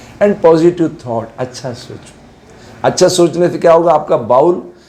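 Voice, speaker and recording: A man is speaking. The room echo is audible. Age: 70s. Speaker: yoga teacher. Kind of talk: lecture.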